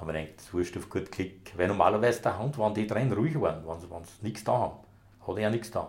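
A man with a fairly low, somewhat breathy voice at a very fast pace, ordinary pitch variation and big swings in loudness. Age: 60s. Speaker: retired police dog handler. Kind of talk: casual interview. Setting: home kitchen.

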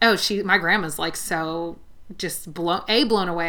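A woman's fairly low-pitched voice, bright and sharp in tone, with ordinary pitch variation. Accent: American. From US West Coast, San Fernando Valley (Los Angeles). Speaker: hair stylist. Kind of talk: casual chat.

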